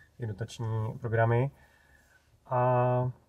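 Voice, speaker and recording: The man's voice is dark and mellow, somewhat breathy, and delivered in a flat monotone. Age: 40s. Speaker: YouTuber on electric cars. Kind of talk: interview. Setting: in a car.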